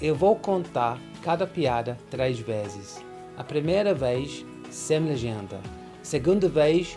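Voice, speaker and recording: Over music in the background, a man speaks very slowly at medium pitch with lively intonation and long, frequent pauses. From London, England. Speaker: English teacher. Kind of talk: casual talk to camera.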